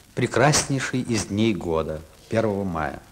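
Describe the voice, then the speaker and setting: A man with a fairly low pitch talks at a moderate pace. Noticeable background noise is present. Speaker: television host. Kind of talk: TV program host introduction. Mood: festive, warm. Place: studio.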